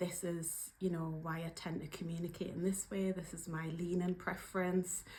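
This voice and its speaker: In a Geordie accent, a woman talks at a moderate pace with hardly any pauses. Her fairly low, somewhat breathy voice has a monotone, flat intonation. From northeast England, Newcastle upon Tyne. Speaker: workplace trainer and coach. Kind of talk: casual video vlog. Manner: casual, hesitant with fillers.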